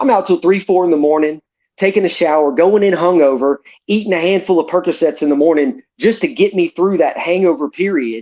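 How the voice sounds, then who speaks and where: With an American accent, a man talks at a fairly quick pace in a high pitch, his tone animated and his intonation lively, over a dry, close sound with no echo. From Northwest Florida (Pensacola). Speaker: podcast guest telling recovery story. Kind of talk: casual interview, personal testimony. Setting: podcast, livestreamed. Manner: animated, repetitive false starts.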